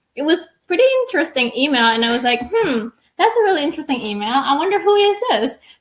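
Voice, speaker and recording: A woman's high voice races at a very fast pace, swinging very widely in pitch. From Indonesia (Bali). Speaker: design entrepreneur. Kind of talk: casual interview chat.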